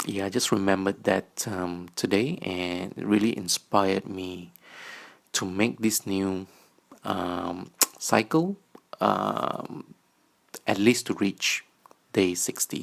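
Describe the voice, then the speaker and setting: A man with a very deep, low pitch speaks at a very slow pace, keeping his intonation fairly even and leaving long, frequent pauses. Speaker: vlogger. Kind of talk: personal video diary. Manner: halting, many fillers.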